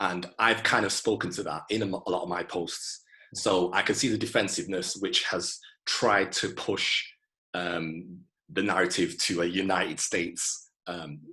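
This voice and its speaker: With a Manchester accent, a man speaks at a very deep, low pitch in a bright, sharp tone, keeping a moderate pace and fairly even intonation. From Manchester, England. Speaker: IT specialist and music historian. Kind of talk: interview answer.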